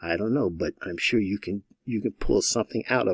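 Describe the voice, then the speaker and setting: The recording of a man speaking at a moderate pace has a dry, close sound with no echo. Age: 60s. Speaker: online marketing coach. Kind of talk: tutorial. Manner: halting.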